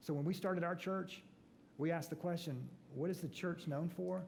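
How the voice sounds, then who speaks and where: With a slight Southern US accent, a man talks at a fairly quick pace in a dark, mellow, somewhat breathy tone, with ordinary pitch variation and audible room echo. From US South, Atlanta. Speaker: pastor and author. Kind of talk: talk to business breakfast audience. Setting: church event with audience. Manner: animated.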